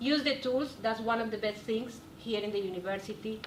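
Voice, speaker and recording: A woman with a non-native accent at a moderate pace, ordinary pitch variation, audible room echo and noticeable background noise. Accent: noticeable foreign. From South America. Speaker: nutrition graduate, alumni panelist. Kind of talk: panel discussion. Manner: animated.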